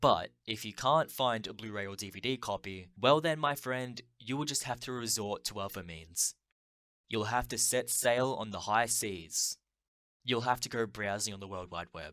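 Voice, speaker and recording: With an Australian accent, a man speaks at a moderate pace and a medium pitch in a bright, sharp tone. His loudness swings widely on a very clean recording with a silent background. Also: ordinary pitch variation. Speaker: film video essayist. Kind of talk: scripted narration.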